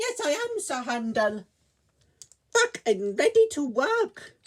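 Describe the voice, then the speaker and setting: At a fairly slow pace, a put-on character voice sits high in pitch and makes very wide pitch swings. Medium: read story. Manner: polite, friendly.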